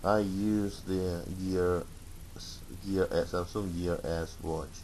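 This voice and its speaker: Very slow and very deep, a man's low-pitched voice carries audible room echo. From Russia. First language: Russian. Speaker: tech reviewer. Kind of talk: product review. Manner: halting, many fillers.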